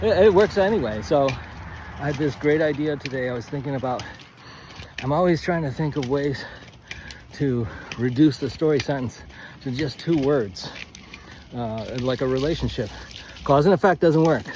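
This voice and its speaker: A man with a fairly high pitch speaks at a moderate pace with ordinary pitch variation and long, frequent pauses, against noticeable background noise. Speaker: writing coach. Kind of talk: casual instructional monologue. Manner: halting, self-correcting; quiet, close to mic.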